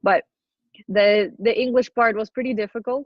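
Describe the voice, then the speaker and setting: At a moderate pace, a woman delivers her words with fairly even intonation. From Ukraine, east (Horlivka area). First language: Ukrainian or Russian. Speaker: adoptee sharing life story. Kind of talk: interview testimony. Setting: podcast. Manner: casual, many fillers.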